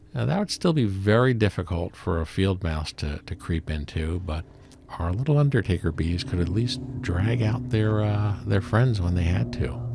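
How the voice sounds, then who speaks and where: Very deep and low in pitch, this man's somewhat breathy voice has a dark, mellow tone and very wide pitch swings at a moderate pace. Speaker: beekeeper. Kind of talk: narrated tutorial. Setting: outdoors in cold weather. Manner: casual, with many fillers.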